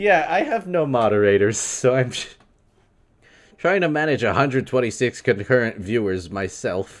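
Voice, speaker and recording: A man with an American accent and lively intonation on a very clean recording with a silent background. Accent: New York accent, only slips out when upset. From US Northeast, New York. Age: 20s. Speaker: video game streamer. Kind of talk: live stream Q&A.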